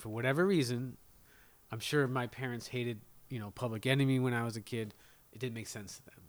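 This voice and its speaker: Here a man with a medium pitch speaks at a fairly quick pace in a plain, everyday voice. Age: 40s. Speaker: DJ. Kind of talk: casual chat. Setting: kitchen table at home.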